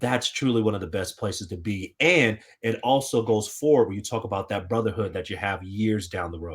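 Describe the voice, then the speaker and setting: A man with an American accent and an unremarkable speaking voice, fairly low in pitch with ordinary pitch variation, talking at a fairly quick pace with hardly any pauses, in a very clean recording with a silent background. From Colorado, Denver. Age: 30s. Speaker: TV sports reporter, former college football player. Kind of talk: casual chat.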